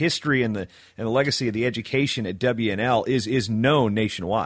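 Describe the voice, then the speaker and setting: Against a quiet background, a man speaks in a normal speaking voice at a moderate pace, with medium pitch and ordinary pitch variation. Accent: American. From Virginia, US. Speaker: wrestling podcast host. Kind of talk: casual interview chat.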